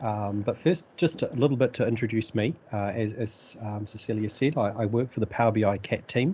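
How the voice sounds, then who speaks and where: A man with a New Zealand accent speaks at a fairly quick pace with hardly any pauses. His voice is medium in pitch, somewhat breathy, with ordinary pitch variation. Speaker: data analytics expert, author. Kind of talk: technical presentation. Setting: video call. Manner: halting, many fillers.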